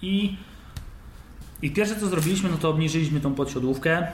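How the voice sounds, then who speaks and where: Audible room echo and noticeable background noise fill the clip. The intonation stays fairly even. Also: man. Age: 20s. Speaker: bicycle frame builder. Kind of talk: interview.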